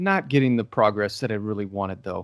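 A man with lively intonation. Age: 30s. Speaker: singing teacher. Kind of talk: casual chat. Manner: animated.

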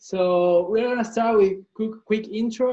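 A man speaks with ordinary pitch variation. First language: Spanish. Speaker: podcast host. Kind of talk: casual interview chat. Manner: halting.

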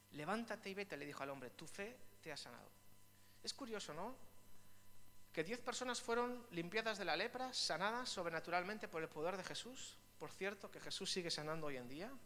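A man's high-pitched, raised, projected voice at a fairly quick pace, with lively intonation and audible room echo. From Spain, Vitoria (Basque Country). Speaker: pastor. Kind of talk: sermon.

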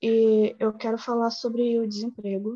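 A woman is speaking. Her tone is dark and mellow. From Baixada Fluminense, Rio de Janeiro, Brazil. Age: 20s. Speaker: university student. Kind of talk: class discussion. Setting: video call.

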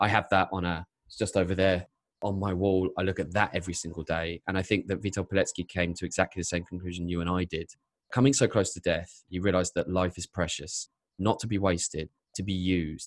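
A man speaks at a fairly quick pace in a very deep, low voice, with a dry, close sound and no echo. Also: fairly even intonation. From England. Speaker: YouTube storyteller and filmmaker. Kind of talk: interview.

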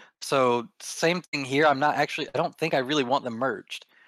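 Recorded very cleanly against a silent background, a man talks at a moderate pace with ordinary pitch variation and a dry, close sound with no echo. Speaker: podcast co-host.

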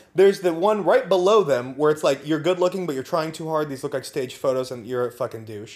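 Over noticeable background noise, a man with an American accent talks at a very fast pace and a fairly high pitch, with hardly any pauses. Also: lively intonation. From Napa, California. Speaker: podcast co-host. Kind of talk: casual chat. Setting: recording in person together.

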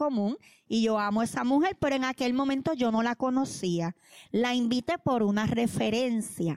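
On a very clean, dry, close recording with no echo and a silent background, a high-pitched woman with a Puerto Rican accent speaks at a moderate pace with ordinary pitch variation. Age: 40s. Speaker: pastor. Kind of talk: testimony.

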